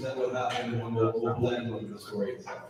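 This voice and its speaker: Amid noticeable background noise and audible room echo, a man speaks at a fairly quick pace with a medium pitch. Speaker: lecturer. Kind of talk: lecture. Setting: hall with audience, PA system. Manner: loud.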